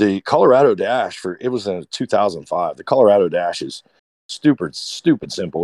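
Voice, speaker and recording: The man's dark, mellow tone comes at a moderate pace in a dry, close sound with no echo. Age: 40s. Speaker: off-road enthusiast. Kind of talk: casual chat.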